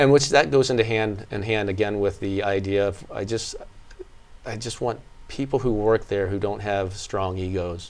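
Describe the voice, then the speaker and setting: With a plain, everyday voice, a man speaks at a moderate pace and a fairly low pitch, keeping his intonation fairly even. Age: 60s. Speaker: fitness studio owner. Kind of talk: interview.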